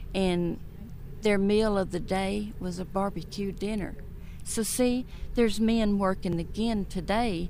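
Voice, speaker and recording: Audible room echo surrounds a woman with a Texan accent whose medium-pitched voice has a dark, mellow tone. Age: 60s. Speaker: former employee. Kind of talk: interview reminiscence.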